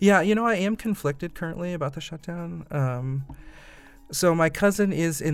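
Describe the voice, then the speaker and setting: A man speaks with a Midwestern American accent. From US Midwest, Indiana (Fort Wayne). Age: 20s. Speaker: voter interviewed on podcast. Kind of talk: interview. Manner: hesitant, many fillers.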